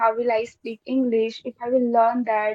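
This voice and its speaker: A woman's high-pitched voice moves along at a moderate speed. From India, Bihar (Siwan). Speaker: English learner, guest. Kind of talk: casual conversation. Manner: hesitant, many fillers.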